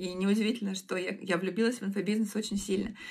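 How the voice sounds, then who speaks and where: A woman talks at a medium pitch with fairly even intonation. It is an ordinary speaking voice. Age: 20s. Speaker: online school founder and producer. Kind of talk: casual chat.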